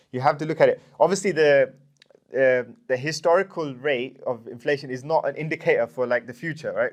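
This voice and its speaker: This man has a fairly high pitch and fairly even intonation. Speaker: course presenter on finance. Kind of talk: lecture. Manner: fast; halting.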